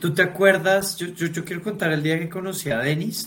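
An unremarkable speaking voice with ordinary pitch variation, delivered at a moderate pace. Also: man. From Colombia. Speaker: podcast host. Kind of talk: casual chat.

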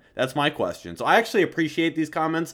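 Speaking at a very fast pace, a man with a fairly high pitch shows vocal fry on a very clean recording with a silent background. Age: 20s. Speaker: political podcast host. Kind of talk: casual political discussion.

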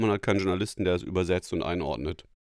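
The voice belongs to a man. The audio is very clean, and the background is silent. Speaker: journalist and podcast host. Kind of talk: casual chat. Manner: halting, many fillers.

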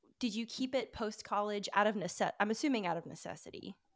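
A woman with a Southern US accent speaks at a fairly high pitch. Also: very clean recording, silent background. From Alabama. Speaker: podcast host. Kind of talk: casual interview.

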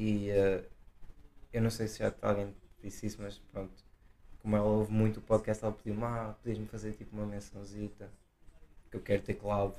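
With a Portuguese accent, a man speaks in a fairly low, dark and mellow tone, using monotone, flat intonation and long, frequent pauses. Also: moderate pace. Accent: non-Porto Portuguese. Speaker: podcast co-host. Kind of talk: casual chat.

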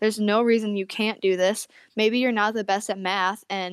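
The speaker has an American accent and a monotone, flat delivery at a moderate pace. The recording is very clean with a silent background, and the sound is dry and close with no echo. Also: woman. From upstate New York. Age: 20s. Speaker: Bible college student and aspiring missionary. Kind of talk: casual interview, personal testimony.

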